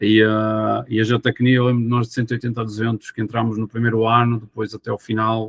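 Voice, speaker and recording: In a Portuguese accent, a man rattles along at a very fast pace with hardly any pauses, medium pitch and monotone, flat intonation, in a dry, close sound with no echo. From Portugal, Porto. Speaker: geotechnical engineer. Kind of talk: podcast interview. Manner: hesitant with fillers.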